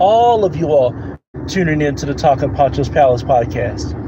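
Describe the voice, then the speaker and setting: Over noticeable background noise, a man with an American accent speaks at a fairly high pitch with lively intonation. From Kentucky, Harlan County (Appalachia). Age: 30s. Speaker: podcast host. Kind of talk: casual live-stream chat. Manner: repetitive, with filler words.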